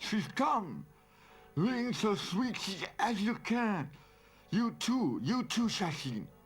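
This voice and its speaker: A man's put-on character voice, high-pitched and lively in intonation, at very even loudness and a very slow pace, broken by long, frequent pauses. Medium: short film.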